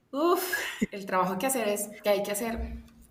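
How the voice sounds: The speech comes at a moderate pace. There is audible room echo. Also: woman.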